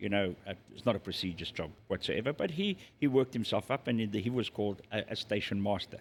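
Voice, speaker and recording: A man with a South African accent talks at a very fast pace in a fairly low pitch with ordinary pitch variation, on a very clean recording with a silent background. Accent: South African Afrikaans-accented English. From South Africa, Zululand. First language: Afrikaans. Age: 60s. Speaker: restaurant and pub owner. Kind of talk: interview conversation.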